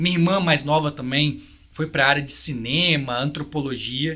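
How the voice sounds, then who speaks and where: A man's fairly high voice comes through with a bright, sharp tone. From Brazil, Vitória, Espírito Santo. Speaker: technology executive. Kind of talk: podcast interview.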